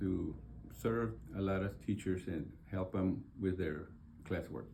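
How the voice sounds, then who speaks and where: Speaking fairly slowly, a man uses a very deep, low pitch with lively intonation and a somewhat breathy, dark, mellow tone. Audible room echo surrounds the voice. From Texas, San Antonio. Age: 70s. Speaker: board candidate. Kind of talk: interview. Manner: halting, many fillers.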